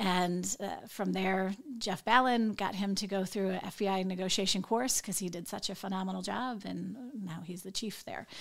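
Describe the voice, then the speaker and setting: This is a plain, everyday voice. Its intonation stays fairly even, and it moves at a moderate speed. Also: woman, medium pitch for a woman. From Northwest Indiana. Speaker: FBI agent. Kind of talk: interview.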